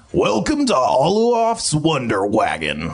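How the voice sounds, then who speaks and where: Gruff and gravelly, the put-on character voice moves at a fairly slow pace. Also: man, fairly high pitch for a man. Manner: welcoming salesman.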